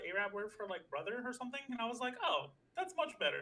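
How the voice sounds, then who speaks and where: With an American accent, a man speaks at a very fast pace in a raised, projected voice with very wide pitch swings, over noticeable background noise. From New York. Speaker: podcast co-host. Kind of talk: casual chat.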